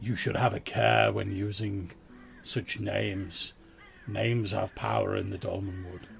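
Over clear background noise, a man puts on a raspy character voice at a fairly low pitch, speaking at a moderate pace.

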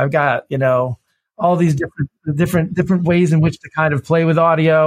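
In an unremarkable speaking voice with ordinary pitch variation, a man talks at a moderate pace, the sound dry and close with no echo. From US Midwest, Detroit, Michigan. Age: 50s. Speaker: innovation consultant. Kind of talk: interview conversation. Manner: repetitive false starts.

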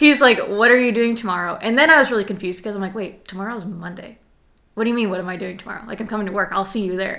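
The speaker talks very fast, with big jumps in loudness and ordinary pitch variation. The tone is bright and sharp, and there is audible room echo. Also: woman, medium pitch for a woman. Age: 20s. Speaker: radio and sports media personality. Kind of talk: casual interview.

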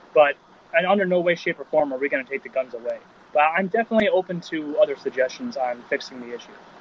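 The delivery is very fast, with lively intonation. Noticeable background noise runs underneath. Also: man, high pitch for a man. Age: 30s. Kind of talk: casual chat.

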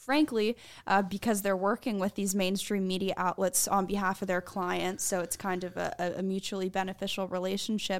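An unremarkable speaking voice from a woman, medium in pitch, fairly quick with hardly any pauses and fairly even intonation, on a very clean recording with a silent background. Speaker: journalist. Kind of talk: casual chat. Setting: studio.

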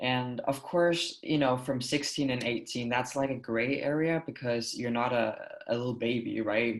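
The speaker is a man with a Danish accent and a medium pitch. He talks at a fairly slow pace with fairly even intonation. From Denmark. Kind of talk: casual interview chat.

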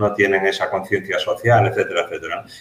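A man speaks in a somewhat breathy voice. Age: 50s. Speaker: security consultant and trainer, former police officer. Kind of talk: interview. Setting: office, video call.

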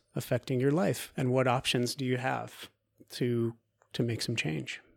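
A man with an American accent uses an ordinary speaking voice at medium pitch with fairly even intonation, on a very clean recording with a silent background. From US Pacific Northwest, Oregon coast. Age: 30s. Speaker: actor and movement teacher. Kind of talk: casual interview.

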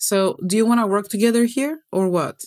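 A woman with a Greek accent at a moderate pace, her pitch varying in an ordinary way. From Greece. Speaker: toxicologist and wellness coach. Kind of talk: interview conversation. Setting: video call. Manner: animated.

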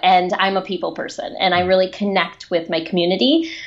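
With a Michigan accent, a woman speaks using lively intonation. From Michigan, suburban Detroit. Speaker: children's book author and speaker. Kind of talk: interview.

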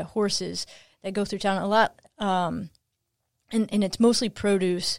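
A woman speaks fairly slowly at a medium pitch, the sound dry and close with no echo in a very clean recording with a silent background. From Kentucky. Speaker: professor. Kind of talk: interview. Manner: halting.

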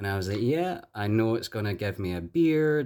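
On a very clean recording with a silent background, a man with a Glasgow accent talks at a moderate pace with lively intonation. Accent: Glasgow Scottish. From Scotland. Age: young. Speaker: detransitioner sharing personal story. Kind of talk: interview.

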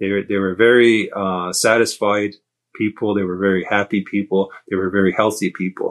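With monotone, flat intonation, a man speaks at a fairly low pitch and a moderate pace over a quiet background. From Kahnawake Mohawk reserve near Montreal, Quebec. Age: 50s. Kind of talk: casual interview conversation.

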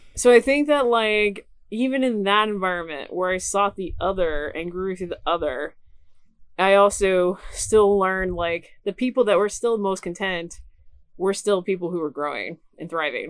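A woman talks in an unremarkable speaking voice at a medium pitch. Her pace is moderate and her pitch variation ordinary. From Knoxville, Tennessee, US South. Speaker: producer and professor. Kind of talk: casual chat. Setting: outdoors by a lake cabin.

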